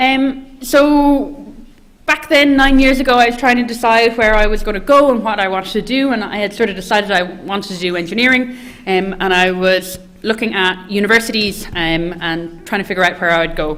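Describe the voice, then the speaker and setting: A woman's fairly high, lively voice at a fairly quick pace, with noticeable background noise. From west of Ireland, County Mayo. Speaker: engineering postgraduate student. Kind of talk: presentation to prospective students. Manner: hesitant, many fillers.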